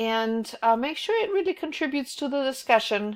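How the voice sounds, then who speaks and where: A woman speaks at a moderate pace in a German accent, her pitch high and her intonation lively. The recording is very clean, with a silent background. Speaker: college instructor. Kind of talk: recorded class overview. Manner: hesitant, many fillers.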